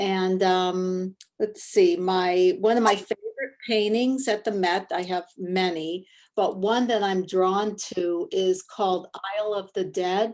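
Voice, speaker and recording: At a fairly slow pace, a woman with an American accent speaks at a medium pitch in a plain, everyday voice. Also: fairly even intonation. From US Midwest, Ohio. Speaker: portrait artist and art teacher. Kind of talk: class introductions, casual.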